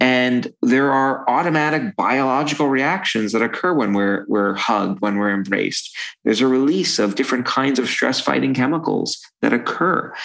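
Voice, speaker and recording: Speaking with an American accent, a man uses a medium pitch and lively intonation. His pace is moderate and his loudness very even. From New York, Brooklyn. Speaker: psychologist. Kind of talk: interview conversation.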